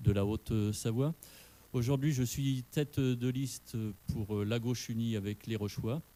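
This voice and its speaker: Fairly slow and fairly even in intonation, the voice carries a dark, mellow tone. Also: man, medium pitch for a man. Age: 50s. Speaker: municipal candidate, retired police commander. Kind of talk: political debate. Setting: radio studio with live audience.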